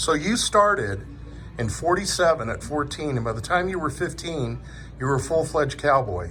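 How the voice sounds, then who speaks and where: With noticeable background noise behind him, a man speaks at a moderate pace in a fairly high pitch, making very wide pitch swings. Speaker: truck driver, interviewer. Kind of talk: casual talk to camera.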